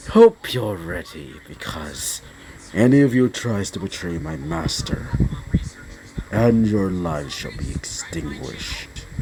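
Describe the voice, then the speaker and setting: Booming in a put-on character voice, a man speaks fairly slowly at a very deep, low pitch, with very wide pitch swings, big swings in loudness and clear background noise. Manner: menacing, threatening.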